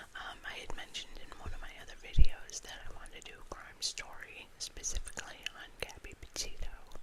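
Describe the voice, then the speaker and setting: A woman is whispering. There is noticeable background noise. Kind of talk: ASMR crime story reading with casual talk to camera. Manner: soft-spoken, whispered.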